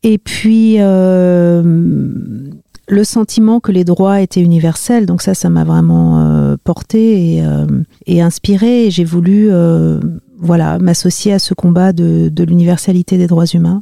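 A woman's very slow delivery at very even loudness. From Paris region, France. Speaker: human rights and gender specialist. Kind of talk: interview. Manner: halting, many hesitations.

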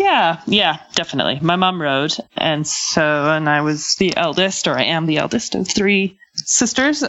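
A woman with a Canadian accent, fairly low in pitch, at a fairly slow pace with hardly any pauses, very even loudness and ordinary pitch variation, over noticeable background noise. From western Canada. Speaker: Olympic event rider. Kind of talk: interview. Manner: hesitant, many fillers.

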